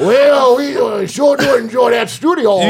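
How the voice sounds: A man shouting in a put-on character voice, extremely high-pitched, at a fairly slow pace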